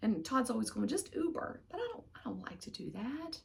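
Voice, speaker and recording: A woman talks at a moderate pace. She has an American accent. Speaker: knitting podcaster. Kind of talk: casual chat. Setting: home loft. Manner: soft-spoken.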